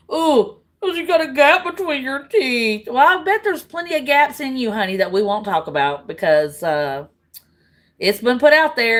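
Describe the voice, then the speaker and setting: A woman with a Southern US accent speaks at a moderate pace in an animated tone, her pitch swinging very widely. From US South, Tennessee. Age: 40s. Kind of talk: heated argument.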